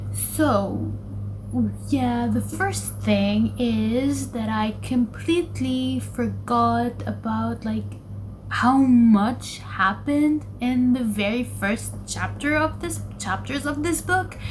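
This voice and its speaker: The speech comes at a very slow pace with audible room echo. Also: woman. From Lebanon. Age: 20s. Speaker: book vlogger. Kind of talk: casual vlog talk. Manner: hesitant, many fillers.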